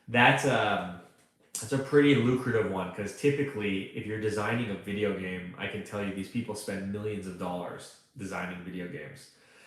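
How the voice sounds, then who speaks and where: Speaking at a fairly quick pace with a Canadian accent, a man with a fairly low voice shows big swings in loudness, and there is audible room echo. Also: ordinary pitch variation. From Canada. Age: 30s. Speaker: online freelancing coach. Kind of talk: live stream Q&A. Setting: live stream. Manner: casual, conversational with fillers.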